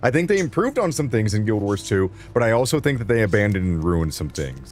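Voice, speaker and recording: A man with a fairly low voice talks at a very fast pace, his pitch swinging very widely. Music plays in the background. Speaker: video game streamer. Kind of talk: live stream commentary. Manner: casual, with filler words.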